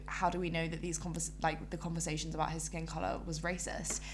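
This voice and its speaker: A woman talks at a very fast pace. Audible room echo is present. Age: 20s. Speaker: podcast co-host. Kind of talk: casual chat. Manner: animated.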